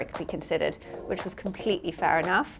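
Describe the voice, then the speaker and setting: Music plays in the background while a woman speaks. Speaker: auctioneer and head of classic art at an auction house. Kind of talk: interview answer.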